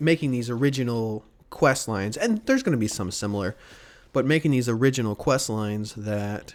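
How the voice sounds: The recording features a natural reading voice.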